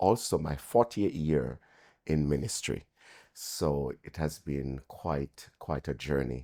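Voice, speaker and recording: Speaking at a fairly slow pace, a man uses a very deep, low voice with a dark, mellow tone and vocal fry. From Jamaica. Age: 60s. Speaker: pastor. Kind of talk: interview.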